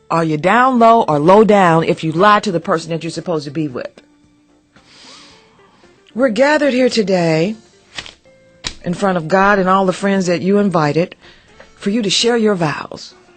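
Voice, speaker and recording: A woman's medium-pitched voice at a moderate pace, lively in intonation, broken by long, frequent pauses, with music in the background. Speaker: radio host. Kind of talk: morning radio talk show. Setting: studio. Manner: powerful, expressive.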